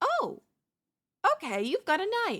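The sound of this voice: Putting on a character voice, a woman speaks slowly at a high pitch, her fairly bright tone swinging very widely up and down.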